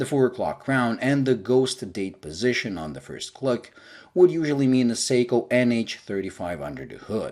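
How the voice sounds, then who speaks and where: Lively intonation and a non-native accent at a moderate pace, on a very clean recording with a silent background. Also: man. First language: not English. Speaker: watch reviewer. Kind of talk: product review.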